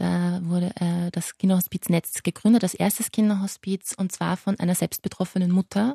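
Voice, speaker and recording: With hardly any pauses, a woman talks at medium pitch in a flat, monotone way, her somewhat breathy voice dark and mellow in a dry, close sound with no echo. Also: moderate pace. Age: 20s. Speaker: pediatric palliative nurse. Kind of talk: interview.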